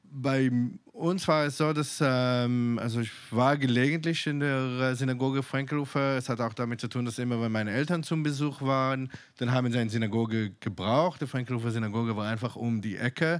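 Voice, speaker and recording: A man speaks with an Israeli accent against a quiet background. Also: ordinary pitch variation. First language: Hebrew (speaking German). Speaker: synagogue community organizer; guest. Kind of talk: panel discussion. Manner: halting, many fillers. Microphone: handheld.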